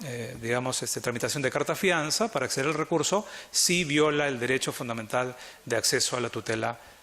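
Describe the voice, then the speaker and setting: The speaker's pitch varies an ordinary amount. The pace is fairly quick. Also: man. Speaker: arbitration lawyer, conference panelist. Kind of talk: conference talk. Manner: fast.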